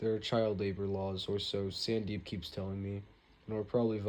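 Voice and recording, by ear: A natural voice reads the text aloud.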